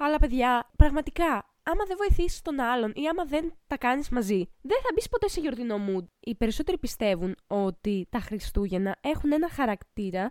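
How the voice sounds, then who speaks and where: Her high voice swings very widely in pitch as this woman talks at a moderate pace. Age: 20s. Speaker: podcast co-host. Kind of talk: casual chat.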